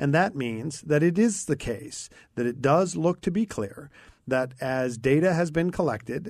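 Against a quiet background, a man uses an ordinary speaking voice with lively intonation at a fairly slow pace. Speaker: guest radio host, former mayor. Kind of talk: talk radio discussion. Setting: radio studio.

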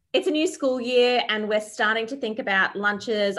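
A woman speaks with an Australian accent and lively intonation. The recording is very clean, with a silent background. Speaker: podcast host. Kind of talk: casual chat.

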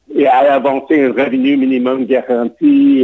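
In an English accent, a man speaks with a dark, mellow tone and fairly even intonation. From Montreal, Quebec. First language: English (speaking French). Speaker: political candidate. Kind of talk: interview. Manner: halting.

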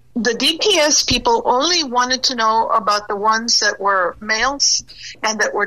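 A woman talks at a moderate speed while noticeable noise sits in the background. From Texas border, Del Rio. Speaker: border resident, former customs worker. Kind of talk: radio interview.

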